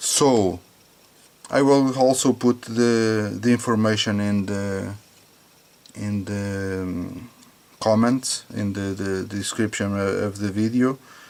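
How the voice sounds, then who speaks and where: A man with a non-native accent and fairly low pitch, at a very slow pace with long, frequent pauses and fairly even intonation. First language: not English. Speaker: hobbyist tech reviewer. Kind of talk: product test demonstration. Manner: halting, many fillers and repetitions.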